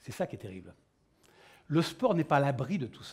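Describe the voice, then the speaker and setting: Vocal fry marks this man's fairly high-pitched voice, which has a dark, mellow tone and a moderate pace. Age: 60s. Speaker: panel moderator, former Olympic pole vaulter. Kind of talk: round-table moderation. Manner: animated.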